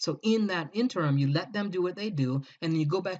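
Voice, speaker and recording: Animated in tone, a man talks at a fairly quick pace with ordinary pitch variation. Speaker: book marketing consultant. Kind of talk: recorded presentation. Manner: fast.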